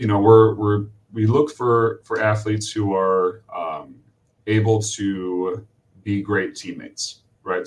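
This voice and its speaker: At a fairly slow pace, a somewhat breathy man speaks with fairly even intonation and a fairly low pitch. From Vermont, New England. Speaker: college swim coach. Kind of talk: webinar interview.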